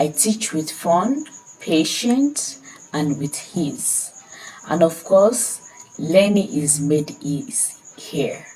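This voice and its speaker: A woman's fairly low voice in a Nigerian accent, very slow with long, frequent pauses and very wide pitch swings, over noticeable background noise. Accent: Nigerian (Yoruba) English. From Nigeria, Ekiti State. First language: Yoruba. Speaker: language tutor. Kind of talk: self-introduction sales pitch.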